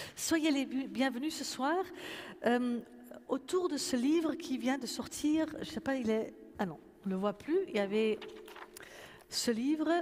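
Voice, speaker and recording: A woman with a Dutch accent speaks at a high pitch and a very slow pace, leaving long, frequent pauses. Her intonation is lively, and the room echo is audible. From Netherlands. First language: Dutch (speaking French). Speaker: pastor and event moderator. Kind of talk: moderated public conversation. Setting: church with audience. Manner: hesitant, many fillers.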